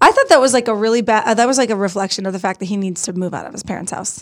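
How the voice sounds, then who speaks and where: With ordinary pitch variation, a woman talks at a fairly high pitch in a very clean recording with a silent background. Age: 30s. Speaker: podcast host. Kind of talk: casual chat.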